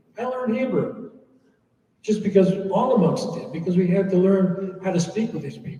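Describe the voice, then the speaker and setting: At a moderate pace, a man with an American accent speaks with ordinary pitch variation. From USA. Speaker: monk. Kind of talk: Q&A talk.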